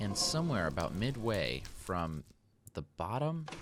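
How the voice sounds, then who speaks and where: With audible room echo, a man speaks slowly-ish, at a fairly slow pace, in a very deep, low voice. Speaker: gaming YouTuber. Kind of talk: let's play commentary.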